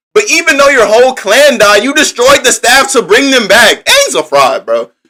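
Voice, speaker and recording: A man with an extremely high voice speaks in a raised, projected way at a moderate pace. His tone is animated, bright and sharp. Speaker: livestreamer. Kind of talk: live stream chat reading comments. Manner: stuttering a little.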